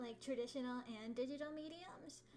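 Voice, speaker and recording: A woman speaks with a high pitch and ordinary pitch variation. Audible room echo surrounds her voice. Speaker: artist teaching a drawing class. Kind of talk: livestream art tutorial. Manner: casual, many fillers.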